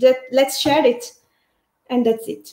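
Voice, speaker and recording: A woman with an Italian accent speaks at a high pitch with fairly even intonation, with audible room echo but a quiet background. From Italy. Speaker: architect and online community builder; interview guest. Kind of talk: casual interview. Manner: halting, with many fillers and repetitions. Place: home room.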